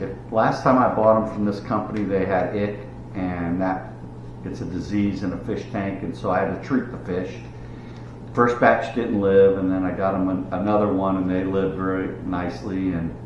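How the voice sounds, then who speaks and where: Through noticeable background noise and audible room echo, a man with a very deep, low pitch speaks at a moderate pace with lively intonation. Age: 60s. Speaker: YouTuber, hobby gardener and fisherman. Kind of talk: casual vlog monologue. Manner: halting, with fillers and restarts.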